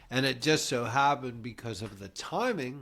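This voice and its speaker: In a very clean recording with a silent background, a man with a plain, everyday voice talks at a fairly slow pace, with medium pitch and ordinary pitch variation. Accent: American. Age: 60s. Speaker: podcast host. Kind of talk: casual chat.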